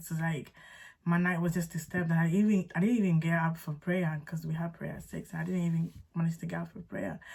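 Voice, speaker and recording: Somewhat breathy, a woman's voice moves along at a fairly quick clip. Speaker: faith and lifestyle vlogger. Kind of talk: testimony story time. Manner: fast; casual, chatty.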